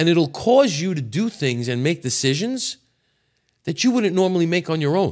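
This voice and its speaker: A man with a New York accent speaks at a moderate pace and a high pitch. His pitch swings very widely. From New York City. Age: 60s. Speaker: podcast guest, former auto repair business owner. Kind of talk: casual chat.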